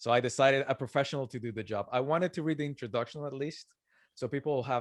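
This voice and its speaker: A man talks at a very fast pace with a Colombian accent. The sound is dry and close, with no echo. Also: quiet background. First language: Spanish. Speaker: author and entrepreneur. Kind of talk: podcast interview.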